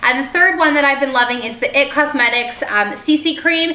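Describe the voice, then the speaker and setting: A woman speaks very fast in a raised, projected voice at a high pitch. Noticeable background noise is present. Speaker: beauty vlogger. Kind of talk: product haul video. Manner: casual with filler ums.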